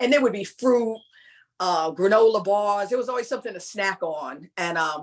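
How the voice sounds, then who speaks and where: A woman with a New York accent speaks at a moderate pace, her medium-pitched voice carrying lively intonation. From New York, Long Island (Hempstead). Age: 60s. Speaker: former club dancer. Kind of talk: interview reminiscence. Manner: casual, conversational with fillers.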